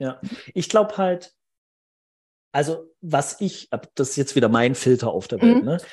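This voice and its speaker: A man's fairly high, somewhat breathy voice at a fairly slow pace, with very wide pitch swings and long, frequent pauses. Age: 30s. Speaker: recruiting consultant. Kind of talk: interview.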